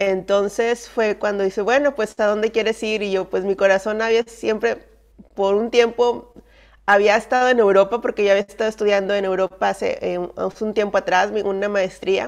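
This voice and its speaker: In a quiet background, a woman talks at a moderate pace with fairly even intonation. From northern Mexico, Monterrey; northern Mexico. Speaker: missionary; guest. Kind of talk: testimony. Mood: warm, personal storytelling. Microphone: video call.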